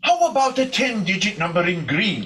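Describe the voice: With audible room echo, a man uses a high-pitched put-on character voice with a bright, sharp tone, big pitch swings, and a moderate pace.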